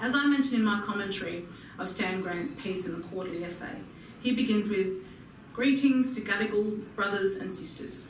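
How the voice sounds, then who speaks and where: A woman's medium-pitched voice at a fairly quick pace, with audible room echo and noticeable background noise. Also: ordinary pitch variation. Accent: Australian. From Australia, Alice Springs, Northern Territory. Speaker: political commentator. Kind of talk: speech. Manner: formal.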